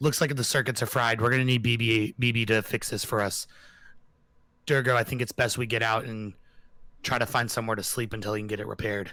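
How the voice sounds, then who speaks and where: A man's raspy, put-on character voice, medium in pitch, very fast, with monotone, flat intonation. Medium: actual play.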